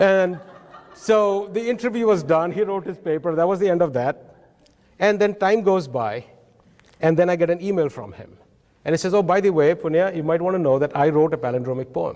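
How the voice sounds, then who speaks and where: A man with an Odisha accent speaks at a fairly quick pace. His pitch is high, with lively intonation. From India (Odisha). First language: Oriya. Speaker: professor. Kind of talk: conference talk. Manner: animated.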